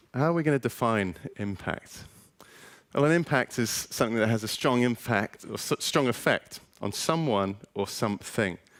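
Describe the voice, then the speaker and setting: With an English accent and lively intonation, a man speaks at a moderate pace. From England, West Country (North Devon). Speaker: education lecturer. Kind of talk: presentation to audience. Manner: casual, upbeat.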